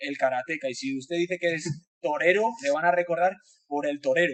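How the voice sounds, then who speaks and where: A man with a Spanish accent speaks at a fairly quick pace in a high pitch. The sound is dry and close with no echo. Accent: Spanish (Spain). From Spain. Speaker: design professor. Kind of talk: webinar talk. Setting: online webinar. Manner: talkative, many hesitations.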